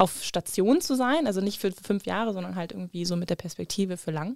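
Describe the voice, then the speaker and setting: A woman speaks at a fairly quick pace in a normal speaking voice, medium in pitch. The recording is very clean, with a silent background. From Germany, Krefeld (Lower Rhine). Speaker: podcast co-host. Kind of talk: casual chat.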